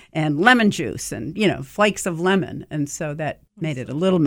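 Her very deep, low pitch carries vocal fry as this woman talks fairly quickly with lively intonation and hardly any pauses. The recording is very clean, with a silent background. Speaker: restaurateur and cooking show figure. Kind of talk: casual interview. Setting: studio.

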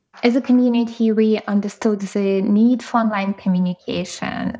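A woman's fairly high voice with a Ukrainian accent, at a fairly slow pace and with fairly even intonation. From Ukraine. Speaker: product designer and community founder. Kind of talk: interview.

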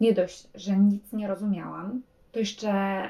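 Somewhat breathy, a woman speaks fairly slowly with monotone, flat intonation. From Poland. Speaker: travel blogger and podcaster. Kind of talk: casual monologue.

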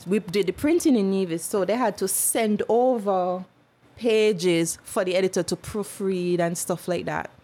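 A woman's dark, mellow voice sits at a medium pitch with ordinary pitch variation. She keeps a moderate pace and very even loudness. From St Kitts. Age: 30s. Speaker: journalist and model. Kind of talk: casual interview chat. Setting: studio.

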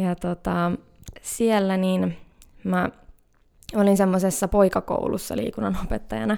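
A woman speaks at a fairly slow pace with long, frequent pauses, her dark, mellow tone sitting at a medium pitch and moving with ordinary pitch variation. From Finland, Hämeenkyrö (Pirkanmaa). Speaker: nature wellbeing entrepreneur. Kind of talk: casual interview. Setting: studio.

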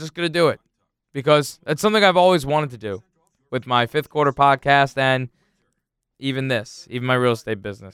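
A man's fairly high voice at a fairly quick pace, with ordinary pitch variation, big swings in loudness, long, frequent pauses and a dry, close sound with no echo. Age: 20s. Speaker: real estate agent and podcast host. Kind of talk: casual solo podcast monologue. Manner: hesitant, many fillers.

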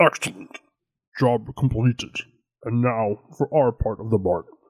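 At a moderate pace, a man performs a put-on character voice in a medium pitch. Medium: actual play. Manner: formal, measured.

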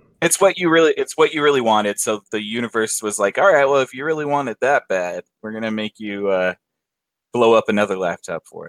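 A man at a medium pitch and fairly quick pace, a normal speaking voice with lively intonation, dry and close with no echo. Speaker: friend, co-guest. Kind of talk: casual chat. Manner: joking, playful.

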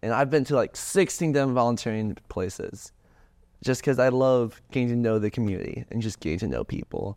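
A man with a plain, everyday voice speaks at a fairly quick pace and a medium pitch, with ordinary pitch variation. The background is quiet. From US South, suburbs of Atlanta, Georgia. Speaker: student, mental health club founder. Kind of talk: casual interview.

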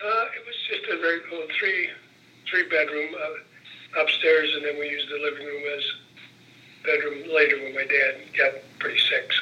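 A man at a moderate pace, his loudness swinging widely, amid noticeable background noise. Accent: Midwestern American. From northern Indiana (LaPorte). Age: 70s. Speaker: retired legislator and lobbyist. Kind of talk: oral history interview.

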